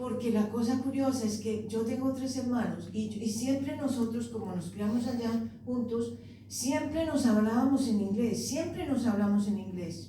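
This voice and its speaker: With a Colombian accent, a woman speaks at a fairly slow pace in a fairly high pitch with ordinary pitch variation, amid noticeable background noise and audible room echo. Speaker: poet. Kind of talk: panel talk. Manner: halting.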